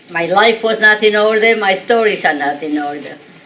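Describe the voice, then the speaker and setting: Her medium-pitched voice swings very widely in pitch as this woman talks over noticeable background noise. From Poland, Warsaw. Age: 80s+. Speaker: Holocaust survivor speaker. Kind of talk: testimony.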